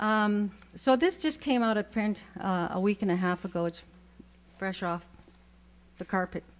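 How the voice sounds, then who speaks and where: The speech has ordinary pitch variation. Long pauses come often. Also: woman, medium pitch for a woman, moderate pace. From Alberta, Canada (Cree community). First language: Cree. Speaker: poet. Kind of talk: casual introduction to audience; poetry reading. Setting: stage with audience.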